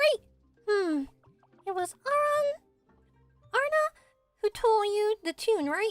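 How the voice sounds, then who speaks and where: A put-on character voice at an extremely high pitch and moderate pace, with faint music in the background. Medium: dub.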